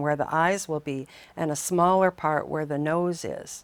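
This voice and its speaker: In an unremarkable speaking voice, a woman speaks at a fairly slow pace and a fairly low pitch with ordinary pitch variation, on a very clean recording with a silent background and a dry, close sound with no echo. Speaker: clay artist and craft teacher. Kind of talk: tutorial.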